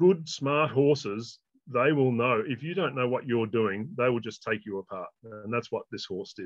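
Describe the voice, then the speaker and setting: With an Australian accent, a man speaks fairly slowly at a medium pitch, his intonation lively. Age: 60s. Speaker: horsemanship trainer. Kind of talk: interview.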